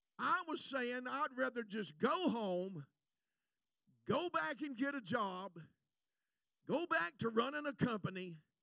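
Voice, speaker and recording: A man's raised, projected voice, extremely high-pitched and bright and sharp in tone, animated, with very wide pitch swings, a fairly slow pace and long, frequent pauses. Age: 60s. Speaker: evangelist. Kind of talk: sermon. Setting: church.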